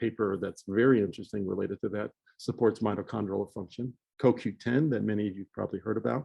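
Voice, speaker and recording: Speaking at a moderate pace with ordinary pitch variation, this is an unremarkable speaking voice. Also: man. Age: 60s. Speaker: physician giving a health seminar. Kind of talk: lecture.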